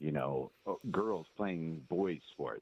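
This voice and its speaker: His pace is very slow. The speaker is a man. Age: 60s. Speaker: caller. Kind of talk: call-in discussion. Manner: halting.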